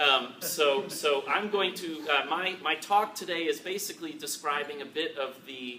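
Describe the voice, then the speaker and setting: With noticeable background noise behind him, a man with a fairly high voice speaks with hardly any pauses and ordinary pitch variation. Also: moderate pace. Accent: American. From Chicago, US. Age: 30s. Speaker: tech entrepreneur speaker. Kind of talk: panel talk to alumni audience. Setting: event room with audience. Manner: halting, many fillers and repetitions.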